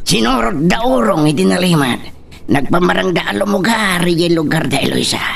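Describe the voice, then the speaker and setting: Against clear background noise, a put-on character voice at a middle pitch moves along at a moderate pace. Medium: audio drama. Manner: deferential, keeps saying madam.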